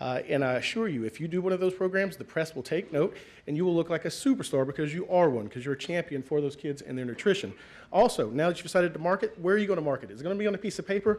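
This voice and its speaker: A man's high-pitched voice at a very fast pace, full of lively intonation. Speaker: school communications officer. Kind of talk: conference talk. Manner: energetic.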